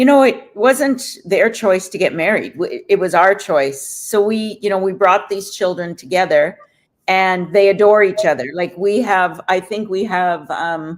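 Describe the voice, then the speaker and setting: The woman speaks at a fairly slow pace with ordinary pitch variation. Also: medium pitch for a woman. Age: 60s. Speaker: business owner couple guest, retiree. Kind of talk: interview.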